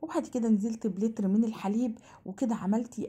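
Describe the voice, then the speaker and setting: A woman with an Egyptian accent sounds animated, her somewhat breathy voice at a fairly high pitch. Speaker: cooking channel host. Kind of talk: cooking tutorial. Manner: fast.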